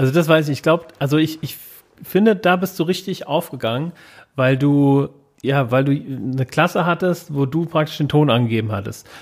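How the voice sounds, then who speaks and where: A plain, everyday voice at a moderate pace, with ordinary pitch variation, on a very clean recording with a silent background. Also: man, fairly high pitch for a man. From Hesse, Germany (Wiesbaden). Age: 30s. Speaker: podcast co-host, founder. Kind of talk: casual chat.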